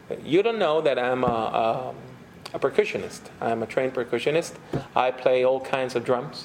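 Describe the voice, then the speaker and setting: There is noticeable background noise as a man speaks with a Puerto Rican accent. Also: medium pitch for a man, ordinary pitch variation, moderate pace. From Puerto Rico. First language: Spanish. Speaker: pastor and theologian. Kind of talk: lecture.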